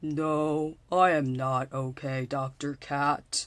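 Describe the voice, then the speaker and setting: A put-on character voice at a low-to-middle pitch, delivered at a very slow pace, in a very clean recording with a silent background. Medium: read story. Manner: fretful, melodramatic.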